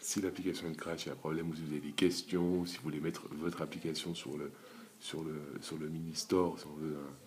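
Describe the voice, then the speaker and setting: A quiet man's very deep, low voice, monotone and flat, at a very fast pace. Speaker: YouTuber app developer. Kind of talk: screen-recorded tutorial. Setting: at home, early morning. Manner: quiet, holding back volume.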